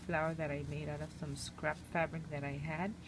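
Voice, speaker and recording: Soft-spoken female speech at a moderate pace, audible room echo around it. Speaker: crafting video maker. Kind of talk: crafting show-and-tell. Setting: at home. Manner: hesitant, many fillers.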